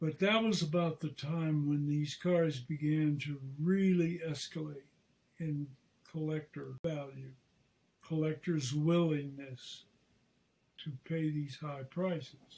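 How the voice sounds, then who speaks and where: A man speaks at a very slow pace with long, frequent pauses and fairly even intonation. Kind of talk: interview answer. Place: home room. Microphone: video call.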